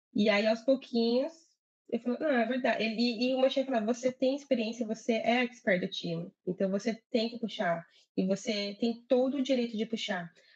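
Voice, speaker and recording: A woman with a Brazilian accent, fairly high-pitched, at a moderate pace, with ordinary pitch variation. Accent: Brazilian accent in English, reduced. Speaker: agile project manager. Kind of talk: live interview chat.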